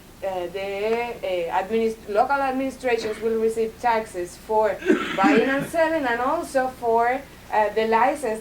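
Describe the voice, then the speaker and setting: With a Spanish accent, a woman speaks fairly slowly at a fairly high pitch with ordinary variation, amid noticeable background noise and audible room echo. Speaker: Cuban institute representative. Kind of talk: Q&A answer at university talk. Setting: university lecture hall with audience. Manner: halting with many fillers.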